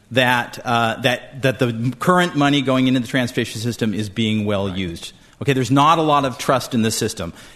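A man with an ordinary speaking voice talks at a medium pitch with ordinary pitch variation. His pace is fairly quick, with hardly any pauses. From California. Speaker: policy researcher. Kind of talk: formal debate. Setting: stage with audience.

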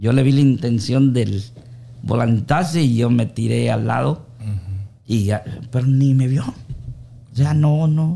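Very slowly, a man speaks with a dark, mellow tone, somewhat breathy, with ordinary pitch variation. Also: medium pitch for a man. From Honduras, Olanchito. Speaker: baker and amateur singer. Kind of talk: casual interview chat.

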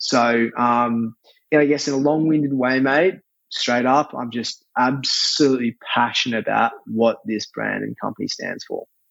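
Speaking with an Australian accent, a man talks at a moderate pace and a medium pitch with fairly even intonation. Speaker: chef and restaurateur. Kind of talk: casual interview. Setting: remote call.

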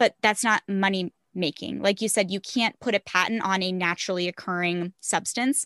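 In a bright, sharp tone with an American accent, the speaker keeps a moderate pace with hardly any pauses and fairly even intonation, in a dry, close sound with no echo and a quiet background. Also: woman, medium pitch for a woman. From Arizona. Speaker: health coach and podcaster. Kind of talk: interview.

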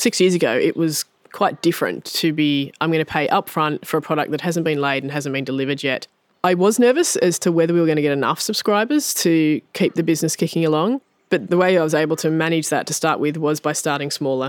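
A woman with an Australian accent, very deep and low in pitch, very fast, with ordinary pitch variation, in a dry, close sound with no echo. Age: 40s. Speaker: farmer. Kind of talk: interview.

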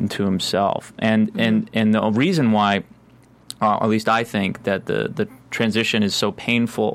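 A man with an ordinary speaking voice, fairly low in pitch and fairly slow in pace. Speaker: assistant editor. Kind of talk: casual chat.

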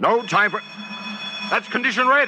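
A man puts on a high-pitched character voice with a bright, sharp tone, a slightly husky edge and lively intonation, speaking at a moderate pace.

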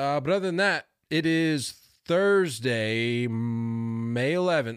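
A man with a medium-pitched voice speaks very slowly, his loudness very even and his intonation lively. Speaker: baseball podcast host. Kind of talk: casual chat.

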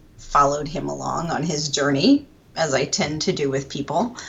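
The speaker has an American accent and a moderate pace with ordinary pitch variation. Noticeable background noise runs underneath. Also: woman. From Pennsylvania. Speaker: writer and editor. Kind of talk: interview conversation. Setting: at home.

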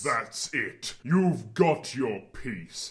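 This is a put-on character voice. The man behind it swings his pitch very widely. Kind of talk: comic deadpan. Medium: audio drama. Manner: casual slangy, says dog.

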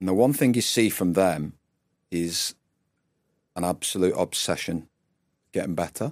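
Speaking at a moderate pace with long, frequent pauses, a man with a northern English accent uses a very deep, low pitch, lively intonation and big swings in loudness, on a very clean recording with a silent background and a dry, close sound with no echo. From Northwest England. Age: 40s. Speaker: former rugby player and performance coach. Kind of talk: interview conversation.

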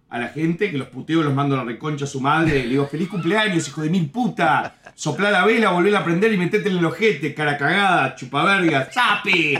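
A man with a Uruguayan accent at a fairly high pitch, fairly quick and with hardly any pauses, over noticeable background noise. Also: ordinary pitch variation. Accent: Rioplatense Spanish (Uruguayan). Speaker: comedian. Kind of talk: casual chat.

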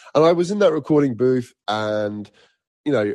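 A man with a British accent. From Egypt and Nigeria. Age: 40s. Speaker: singer. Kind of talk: casual chat.

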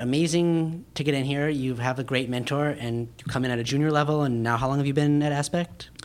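A man with a General American accent talks at a fairly quick pace with hardly any pauses. He has a normal speaking voice, fairly high in pitch, with ordinary pitch variation. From Park City, Utah. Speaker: podcast host. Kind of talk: interview; casual monologue. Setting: guest's office.

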